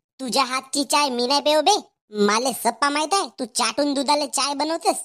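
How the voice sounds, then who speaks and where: A woman uses a cartoonish character voice, high in pitch with ordinary variation. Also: moderate pace. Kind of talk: comic overacting. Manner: swaggering, mixing Hindi into Marathi.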